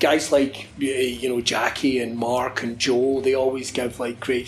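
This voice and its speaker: Over noticeable background noise, a man with a Scottish accent talks at a medium pitch with hardly any pauses. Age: 30s. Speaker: wrestling commentator. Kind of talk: casual chat. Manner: animated.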